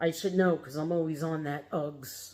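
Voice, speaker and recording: This woman has a fairly low pitch. She talks with a New York accent. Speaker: reseller and haul vlogger. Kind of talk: casual product showcase vlog. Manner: casual, chatty with fillers.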